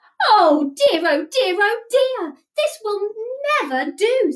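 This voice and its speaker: A woman does a squeaky, put-on character voice at an extremely high pitch. She goes at a fairly slow pace with very wide pitch swings. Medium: read story. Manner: fussy, put-upon.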